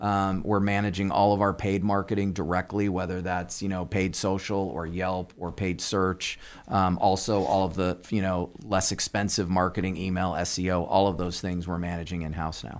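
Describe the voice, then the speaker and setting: The speaker has an American accent and a monotone, flat intonation, with hardly any pauses. The recording is very clean, with a silent background. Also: man, very deep, low pitch for a man, moderate pace. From Southern California. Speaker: company executive. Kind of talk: interview. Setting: studio.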